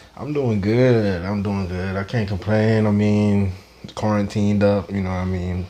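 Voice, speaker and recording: A man speaks at a moderate pace with a fairly low pitch. His intonation is fairly even, with noticeable background noise. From Saint Lucia. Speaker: cannabis club founder. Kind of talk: casual interview. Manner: laid-back.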